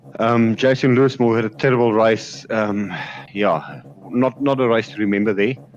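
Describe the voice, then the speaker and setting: Noticeable background noise sits behind a man talking at a moderate pace and medium pitch with ordinary pitch variation. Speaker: sim racing commentator. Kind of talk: live commentary. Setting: home sim rig with VR headset. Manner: loud.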